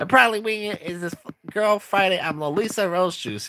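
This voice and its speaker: A man's put-on character voice, high-pitched and at a fairly quick pace. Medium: read story. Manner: bubbly, upbeat.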